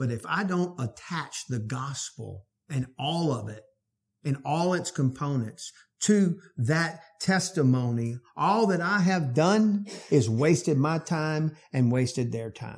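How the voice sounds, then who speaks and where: A man's fairly high, somewhat breathy voice with lively intonation at a very slow pace, in a very clean recording with a silent background. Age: 50s. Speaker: pastor. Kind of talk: sermon.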